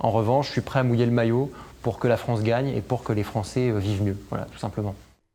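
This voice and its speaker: This man talks at a fairly quick pace with fairly even intonation and a medium pitch. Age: 30s. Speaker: senior civil servant and legal officer. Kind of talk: interview testimony about career. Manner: hesitant with frequent fillers.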